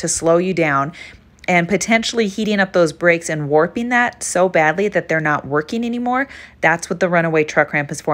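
With an unremarkable speaking voice, a woman talks at a fairly quick pace, fairly low in pitch with lively intonation. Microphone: phone near.

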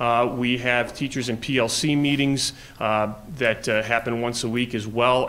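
With an American accent, a man speaks at a moderate pace and medium pitch with fairly even intonation over noticeable background noise. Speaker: assistant principal. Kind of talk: presentation to school board. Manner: halting, many fillers.

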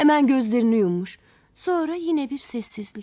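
This woman's voice is high in pitch. Her tone is dark and mellow.

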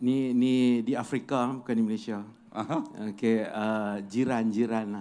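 The voice has a dark, mellow tone and moves at a very slow pace. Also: man. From Alor Setar, Kedah; Kedah. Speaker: schoolteacher, audience questioner; schoolteacher, questioner. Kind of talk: audience question on stage. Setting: outdoor stage with audience. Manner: halting. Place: stage. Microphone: handheld.

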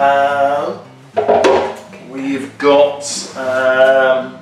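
Faint music plays in the background as a man talks with audible room echo. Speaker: presenter. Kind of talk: product demo unboxing. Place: kitchen. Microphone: camera far.

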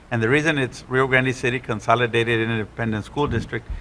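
With an American accent, the speaker talks at a fairly quick pace in a bright, sharp tone with vocal fry and fairly even intonation. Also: man. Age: 60s. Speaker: school board member. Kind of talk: public meeting discussion.

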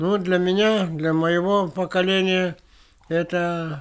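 A man's high-pitched voice at a very slow pace. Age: 90s. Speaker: war veteran and journalist. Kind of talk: interview; interview answer. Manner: halting. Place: home room.

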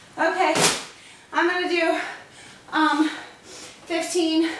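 Audible room echo and light background noise surround a woman's extremely high voice. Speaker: fitness instructor. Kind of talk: workout tutorial. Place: garage. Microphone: camera far.

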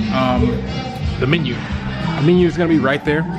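A man's voice with music playing in the background. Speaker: restaurant reviewer vlogger. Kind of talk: casual vlog chat. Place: cafe. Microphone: phone near.

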